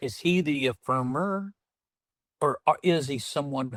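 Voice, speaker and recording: In a Southern US accent, a man with a fairly high voice talks at a moderate pace with lively intonation, the sound dry and close with no echo. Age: 60s. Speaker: entrepreneur and former pastor. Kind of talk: podcast interview.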